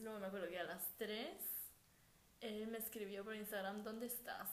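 Monotone, flat intonation with audible room echo and noticeable background noise. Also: woman. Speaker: podcast co-host. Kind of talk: casual chat. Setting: at home.

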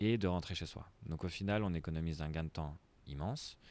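A man talks at a fairly quick pace. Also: very clean recording, silent background. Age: 20s. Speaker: startup founder. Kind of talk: interview. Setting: coworking space.

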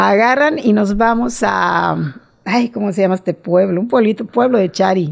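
A woman speaks at a fairly slow pace in a medium-pitched voice with lively intonation. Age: 60s. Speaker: amateur cyclist. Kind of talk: interview.

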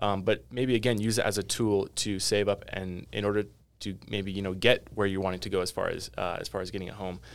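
A man's unremarkable speaking voice, fairly low and fairly quick with fairly even intonation, on a very clean recording with a silent background. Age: 20s. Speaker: real estate agent. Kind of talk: casual chat.

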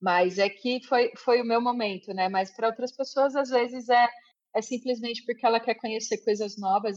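The speaker uses an unremarkable speaking voice at a moderate pace, keeping the intonation fairly even. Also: woman. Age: 40s. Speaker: IT engineer. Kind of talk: interview.

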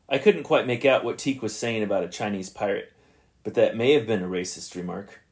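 In a very clean recording with a silent background, a man talks at a fairly quick pace with lively intonation in an ordinary speaking voice. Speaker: podcast host. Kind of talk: podcast commentary on old radio episodes. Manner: casual, conversational, thinking aloud.

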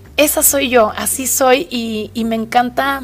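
A woman speaks with a Mexican accent at a fairly high pitch. Her tone is animated. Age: 30s. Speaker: podcast host. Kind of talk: casual monologue.

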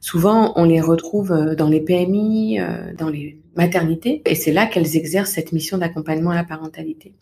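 Soft-spoken and fairly low in pitch, a woman talks at a moderate pace with ordinary pitch variation. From Paris region, France (Val-de-Marne). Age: 30s. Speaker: parenting coach. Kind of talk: interview.

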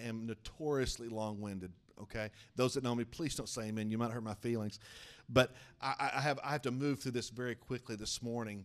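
Speaking at a very fast pace, a man with an American accent keeps a medium pitch and ordinary pitch variation. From eastern Oklahoma, small town. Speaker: denominational superintendent and preacher. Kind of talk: evangelical Pentecostal sermon, preacher in full flow. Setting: church with congregation. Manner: fervent rising-and-falling pulpit cadence, calling for amens; brisk, warm, conversational asides to the congregation.

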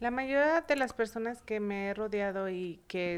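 A woman at a medium pitch, talking at a very slow pace. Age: 30s. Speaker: beauty professional and salon owner. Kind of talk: casual chat.

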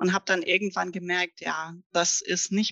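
A woman talks at a moderate pace and medium pitch, her tone bright and sharp. Her pitch varies in an ordinary way, and the sound is dry and close with no echo. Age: 40s. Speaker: career coach. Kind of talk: interview.

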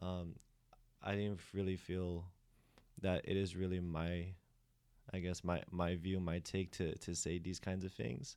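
A man's very deep, low voice with an American accent, dark and mellow in tone, fairly slow and fairly even, with long, frequent pauses, on a very clean recording with a silent background. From Philippines. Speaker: podcast host and student discussant. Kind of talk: casual panel discussion.

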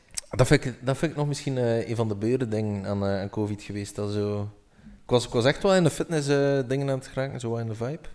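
A man with an unremarkable speaking voice talks at a fairly quick pace, his medium pitch showing ordinary pitch variation. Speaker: podcast co-host. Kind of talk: casual chat.

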